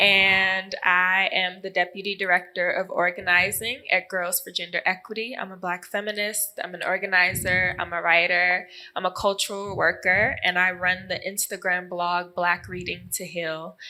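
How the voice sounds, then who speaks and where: The speaker has an American accent and talks at a moderate pace in a monotone, flat intonation with hardly any pauses. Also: woman, medium pitch for a woman. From United States. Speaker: feminist organizer. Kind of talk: panel discussion.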